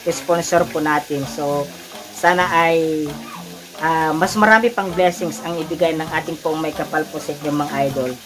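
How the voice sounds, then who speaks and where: The voice has a warm tone and fairly even intonation. Noticeable background noise runs underneath. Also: man. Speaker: cooking vlogger. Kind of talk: casual vlog chat while cooking. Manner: casual, warm, frequent 'mga idol' address.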